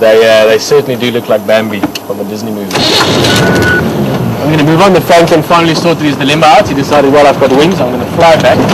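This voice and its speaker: A man races along at a very fast pace amid audible room echo and noticeable background noise. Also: fairly high pitch for a man. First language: Afrikaans. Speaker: safari guide. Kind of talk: live commentary. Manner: casual, halting.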